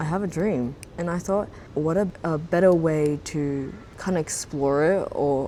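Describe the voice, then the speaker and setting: In an Australian accent, a woman speaks with a very deep, low pitch, a dark, mellow tone and ordinary pitch variation. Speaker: YouTuber. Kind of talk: vlog monologue. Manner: casual, filler-heavy.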